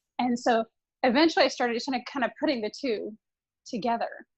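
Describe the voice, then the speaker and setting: With a slight Southern US accent, a woman speaks in a fairly high pitch with lively intonation. The sound is dry and close with no echo, over a quiet background. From US South, Tennessee and Orlando, Florida. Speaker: consultant to venture capitalists. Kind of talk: interview. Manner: halting, many fillers.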